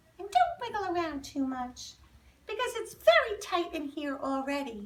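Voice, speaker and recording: Doing a put-on character voice, a woman sounds squeaky at an extremely high pitch and a moderate pace. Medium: read story.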